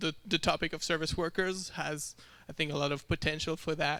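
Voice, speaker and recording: A man with a French accent speaks at a high pitch in a bright, sharp tone, on a very clean recording with a silent background. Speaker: software developer. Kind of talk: tech talk.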